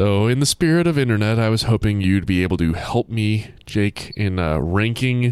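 Someone does plain reading aloud with ordinary pitch variation.

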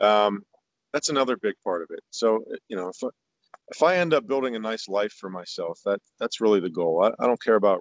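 A plain, everyday voice with an American accent talks at a fairly quick pace with lively intonation, in a dry, close sound with no echo. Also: man, medium pitch for a man. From Pittsburgh, Pennsylvania, US. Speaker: country singer. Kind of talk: interview conversation.

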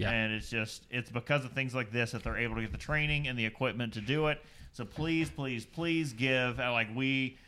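Speaking with a Southern US accent in a bright, sharp tone, a man holds a medium pitch with ordinary pitch variation, in a very clean recording with a silent background. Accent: Southern US drawl, still present. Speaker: beer podcast co-host. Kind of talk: scripted narration; casual chat. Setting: live stream. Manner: animated.

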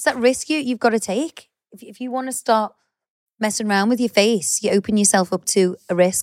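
With a dry, close sound and no echo, a woman speaks in an English accent at a fairly quick pace, playful in tone, with ordinary pitch variation and big swings in loudness. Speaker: podcast co-host. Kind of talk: casual chat. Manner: playful, laughs often.

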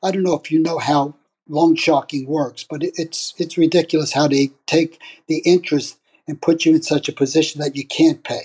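In a New York accent, the voice carries a monotone, flat intonation, with a dry, close sound and no echo. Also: man, fairly high pitch for a man, moderate pace. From New York (Brooklyn). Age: 70s. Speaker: retired father sharing his story. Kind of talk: personal storytelling.

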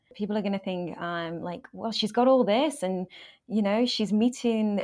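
Recorded very cleanly against a silent background, a woman talks with an English accent. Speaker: author and life coach. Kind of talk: interview.

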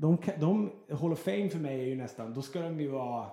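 The speaker moves at a fairly quick pace with lively intonation. Noticeable background noise is present. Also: man. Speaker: radio host. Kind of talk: casual chat. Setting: in an apartment.

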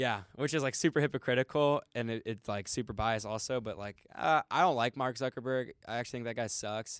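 In a plain, everyday voice, a man with a medium pitch and ordinary pitch variation talks at a fairly quick pace with hardly any pauses, in a very clean recording with a silent background and a dry, close sound with no echo. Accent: American. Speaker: college student. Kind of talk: casual chat.

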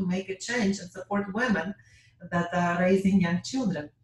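A woman's fairly even intonation comes through a somewhat breathy voice. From Ukraine. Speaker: orthodontist. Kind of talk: interview with slide presentation.

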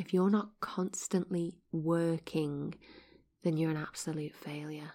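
A woman speaks with a dark, mellow tone, a low pitch and fairly even intonation.

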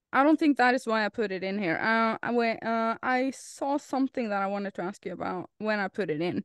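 A woman's fairly high voice with a Norwegian accent, lively intonation and a fairly quick pace, dry and close with no echo against a quiet background. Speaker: podcast co-host and content creator. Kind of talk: casual chat.

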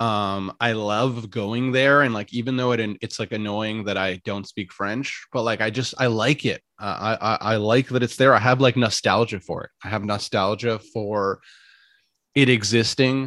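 A man with a Canadian accent speaks in a plain, everyday voice at medium pitch and a moderate pace, his intonation fairly even, on a very clean recording with a silent background. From Canada, Ottawa. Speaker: podcaster. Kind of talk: casual chat.

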